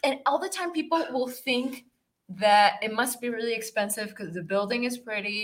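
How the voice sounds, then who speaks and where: A woman speaks at a moderate pace in a high voice. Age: young. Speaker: artist and museum worker. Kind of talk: casual interview. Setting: studio.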